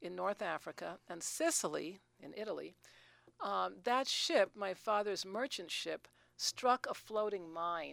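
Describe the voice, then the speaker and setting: A woman's unremarkable speaking voice at medium pitch, fairly slow, with lively intonation, dry and close with no echo, on a very clean recording against a silent background. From New York City. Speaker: retired teacher and author. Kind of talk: interview.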